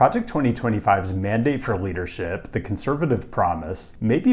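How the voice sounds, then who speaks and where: Speaking fairly quickly in an American accent, a man uses a fairly low, somewhat breathy voice with lively intonation. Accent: normal American. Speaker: urbanism video creator. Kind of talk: commentary video.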